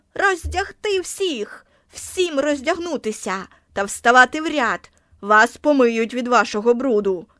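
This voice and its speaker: A woman shouts in a put-on character voice at a high pitch. Her pitch swings very widely, and her pace is fairly slow. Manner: shouting, commanding.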